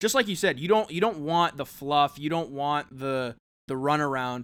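A man with a plain, everyday voice speaks with lively intonation. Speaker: podcast co-host. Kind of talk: casual chat.

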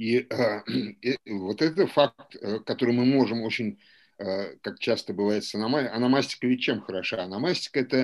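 In a very clean recording with a silent background, a man speaks at a moderate pace and medium pitch with ordinary pitch variation. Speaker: historian and lecturer. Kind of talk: academic seminar lecture. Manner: hesitant, many fillers and repetitions.

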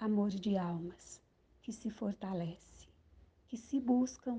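Speaking at a very slow pace, a woman has a somewhat breathy, dark, mellow tone, medium pitch, and fairly even intonation. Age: 60s. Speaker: poet and columnist. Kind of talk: poetry reading.

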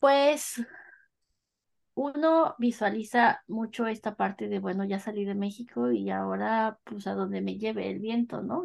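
A woman's fairly slow talking is set against a quiet background. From Mexico, northern State of Mexico. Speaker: Mexican expat. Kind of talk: casual interview.

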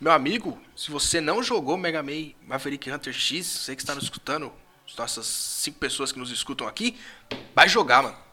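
A man's fairly high voice at a moderate pace, lively intonation and big swings in loudness, over noticeable background noise. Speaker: podcast host. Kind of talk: casual chat.

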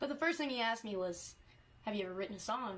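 Here a woman is speaking. She has a Texas accent. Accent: Texas Southern. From East Texas. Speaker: country singer-songwriter. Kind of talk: interview.

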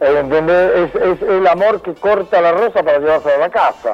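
High-pitched and lively in intonation, a man speaks. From Argentina (Buenos Aires area), born in Venezuela. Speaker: psychologist. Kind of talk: casual interview.

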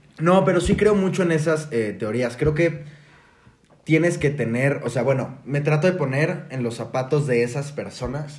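In a room with audible echo, a man speaks at a fairly slow pace and a fairly high pitch. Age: 20s. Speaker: podcast guest. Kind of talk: casual chat.

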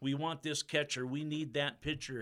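Here a man speaks with an American accent. His pitch is fairly high and his intonation monotone and flat. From US Pacific Northwest. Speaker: stadium PA announcer and radio host. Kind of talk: casual interview chat. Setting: radio studio. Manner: halting, many fillers.

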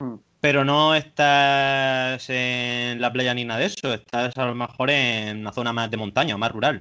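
A man speaks at a fairly slow pace with a medium pitch and fairly even intonation. He hardly pauses at all. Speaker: podcast host. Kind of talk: casual interview. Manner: halting.

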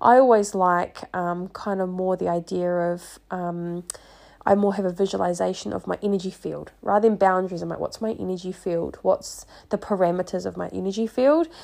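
Against a quiet background, a woman with a New Zealand accent speaks at a moderate pace. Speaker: podcast host and life coach. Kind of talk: casual solo monologue.

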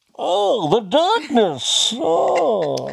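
Using a put-on character voice, a man talks at a high pitch.

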